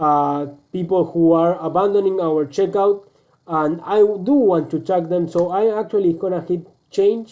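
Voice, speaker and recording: Speaking with a Spanish accent over a quiet background, a man with a high voice goes at a fairly slow pace with ordinary pitch variation. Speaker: online business coach; presenter. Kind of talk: screen-recorded tutorial; tutorial. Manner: halting, many fillers and restarts.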